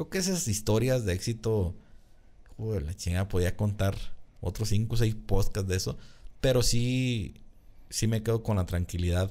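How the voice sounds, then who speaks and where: A man's fairly low voice with a dark, mellow tone, moderate pace, ordinary pitch variation and long, frequent pauses. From Jalisco, Mexico (Tonalá / Guadalajara area); Jalisco, Mexico. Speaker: agronomist; podcast guest. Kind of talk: casual chat. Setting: studio. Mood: relaxed, candid, joking. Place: studio. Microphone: studio mic.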